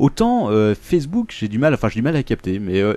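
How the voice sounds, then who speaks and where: Fairly quick delivery from a man at medium pitch. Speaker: podcast host. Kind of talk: casual banter among friends, joking podcast chat. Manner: jokey, bantering, animated.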